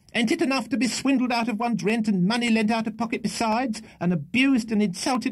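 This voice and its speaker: A man's put-on character voice, high and shrill, at a fairly quick pace, in a very clean recording with a silent background. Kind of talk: comic character reading. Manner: scolding, fast.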